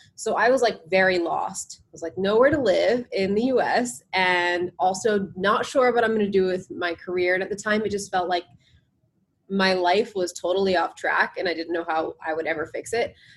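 Someone with an American accent speaks at a moderate pace with ordinary pitch variation and an unremarkable speaking voice. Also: woman, medium pitch for a woman. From New Jersey, US. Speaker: yoga and meditation instructor. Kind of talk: casual interview chat.

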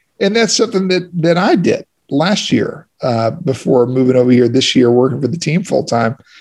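Somewhat breathy and with hardly any pauses, a man speaks at a moderate pace with a fairly high pitch and very wide pitch swings. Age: 30s. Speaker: racing driver and podcast co-host. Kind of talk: casual chat.

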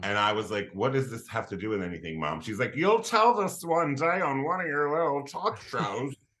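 A man with an American accent, fairly high pitch, bright, sharp tone and vocal fry, his pitch swinging very widely at a moderate pace with hardly any pauses. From Philadelphia, Pennsylvania. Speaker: comedian and writer. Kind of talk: casual chat. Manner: animated.

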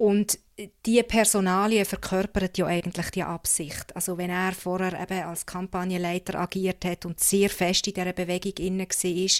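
A woman speaks at medium pitch and a moderate pace, her intonation flat and monotone. The sound is dry and close with no echo, in a very clean recording with a silent background. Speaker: political journalist. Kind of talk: casual chat.

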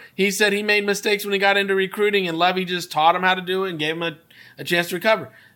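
A man speaks at a high pitch in a raised, projected voice. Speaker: football scout and co-host. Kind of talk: casual sports talk show chat. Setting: live video call show. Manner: animated, jokey.

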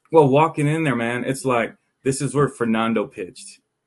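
Over a quiet background, a man with an ordinary speaking voice and an American accent talks at a moderate pace with ordinary pitch variation. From Texas, Arlington area. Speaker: baseball journalist. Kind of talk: casual chat.

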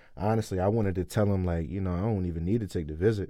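Very fast and very deep, a man's low-pitched voice has a dark, mellow tone on a very clean recording with a silent background. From Wilmington, Delaware. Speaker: college football player. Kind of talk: casual chat.

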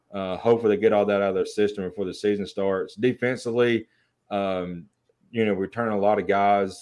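An ordinary speaking voice from a man at a fairly low pitch against a quiet background. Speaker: podcast co-host. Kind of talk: casual sports talk show banter.

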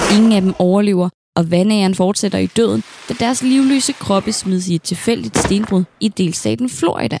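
A woman's medium-pitched voice with ordinary pitch variation and very even loudness, recorded dry and close with no echo. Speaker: historian podcast host. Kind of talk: true-crime narration. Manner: dramatic, gripping storytelling; measured, deliberate, serious.

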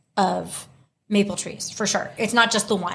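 A woman speaks at a moderate pace in a plain, everyday voice with an American accent and fairly even intonation. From US South, Houston, Texas. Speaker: podcast co-host. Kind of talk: casual chat.

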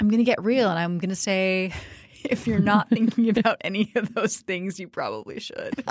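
It is a plain, everyday voice. The pace is moderate, and the intonation stays fairly even. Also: woman. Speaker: podcast co-host. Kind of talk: informal conversational. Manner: casual, chatty.

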